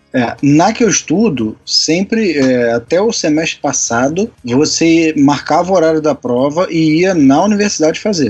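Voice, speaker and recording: A man speaks in a normal speaking voice with a fairly high pitch and lively intonation. His pace is fairly slow, with hardly any pauses. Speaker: podcast host, civil engineering student. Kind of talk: casual chat.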